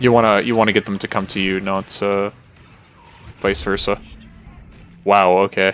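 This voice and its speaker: Over music in the background, a man talks at a fairly quick pace with fairly low pitch and fairly even intonation. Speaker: video game streamer. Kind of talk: live gameplay commentary. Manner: monotone.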